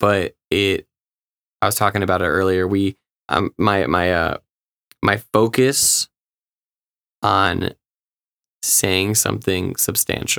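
With an American accent, the speaker goes at a very slow pace, using ordinary pitch variation and long, frequent pauses. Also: man, fairly low pitch for a man. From Illinois, Chicago suburbs. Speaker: rapper. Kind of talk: casual chat. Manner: loud; animated.

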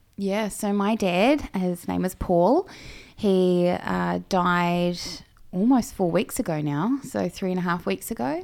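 With a New Zealand accent, a woman talks at a very slow pace, her medium-pitched voice showing lively intonation. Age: 30s. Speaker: pro-life podcast host. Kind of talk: personal testimony.

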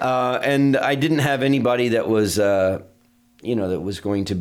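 With an ordinary speaking voice and an American accent, a man talks at a moderate pace with lively intonation. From US Northeast, Vermont. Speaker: pastor. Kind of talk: interview. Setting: studio.

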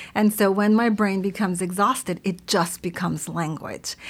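In a Spanish accent, a woman speaks at a moderate pace and medium pitch with ordinary pitch variation, on a very clean recording with a silent background. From Latin America, raised in South Florida. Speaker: Spanish instructor. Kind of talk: interview conversation. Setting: studio.

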